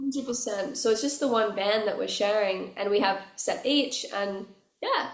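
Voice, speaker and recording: With an Australian accent, a woman speaks at a moderate pace and a fairly high pitch, using ordinary pitch variation, with audible room echo. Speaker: musician. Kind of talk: casual interview chat. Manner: animated.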